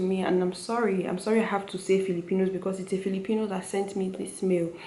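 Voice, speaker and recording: A woman with a Nigerian accent speaks very fast at a medium pitch, in a monotone, flat intonation. Noticeable background noise runs behind her. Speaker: medical student. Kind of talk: casual talk to camera.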